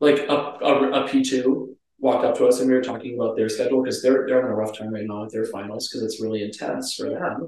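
A man talks at a very fast pace with hardly any pauses, in an American accent. His pitch is medium and his intonation fairly even. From Minnesota. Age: 20s. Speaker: pharmacy student. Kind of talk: casual chat.

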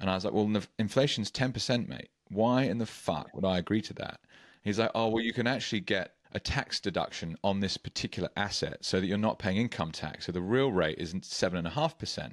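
A man with a British accent, fairly low pitch and lively intonation at a moderate pace, in a dry, close sound with no echo and a quiet background. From UK. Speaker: podcast host. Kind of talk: interview.

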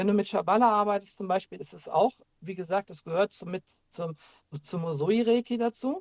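Moderate pace and ordinary pitch variation from a man, in a dry, close sound with no echo. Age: 40s. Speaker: Reiki master and paranormal investigator. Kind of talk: casual interview. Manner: halting, many fillers and restarts.

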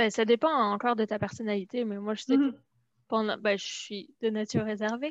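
A woman speaks with a dry, close sound and no echo. The background is quiet. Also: fairly quick pace. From France. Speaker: immigrant guest. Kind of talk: casual chat.

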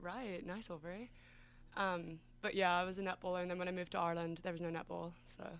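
A woman with an Australian accent talks at a very fast pace. Her pitch is fairly low and her intonation monotone and flat. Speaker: college swimmer. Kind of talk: casual chat.

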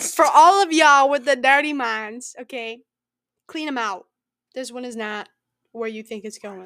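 Animated and with lively intonation, a woman's high, bright, sharp voice moves at a moderate pace, with big swings in loudness and long, frequent pauses. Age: 20s. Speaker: podcast host. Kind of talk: casual chat.

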